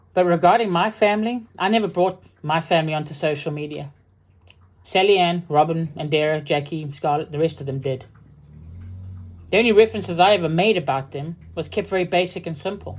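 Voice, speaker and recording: Someone speaks at a fairly quick pace with a South African accent. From UK, partly raised in South Africa. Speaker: military veteran and online creator. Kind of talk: angry rebuttal livestream. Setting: livestream.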